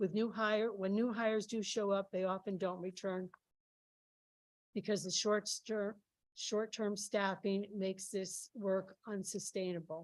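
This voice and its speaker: A woman of medium pitch speaks at a fairly slow pace in a monotone, flat intonation. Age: 60s. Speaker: nursing home worker. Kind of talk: public testimony. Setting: legislative hearing room.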